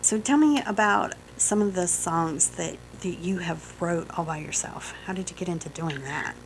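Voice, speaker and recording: A woman with a strong Southern US accent at a moderate pace, over noticeable background noise. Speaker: radio host. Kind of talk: radio interview. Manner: enthusiastic.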